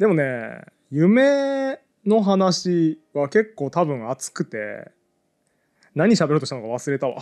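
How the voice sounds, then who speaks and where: Over a quiet background, a man with a fairly high pitch talks at a very slow pace, his pitch swinging very widely. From Hokkaido, Japan. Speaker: podcast co-host. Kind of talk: live audience recording, casual chat. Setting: public recording with small audience. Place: studio. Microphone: headset.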